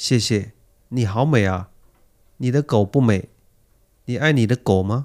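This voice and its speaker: At a fairly slow pace with long, frequent pauses, a man speaks at medium pitch with ordinary pitch variation, the sound dry and close with no echo on a very clean recording with a silent background. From China. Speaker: language textbook dialogue performer. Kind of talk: reading scripted role-play dialogue aloud; casual chat.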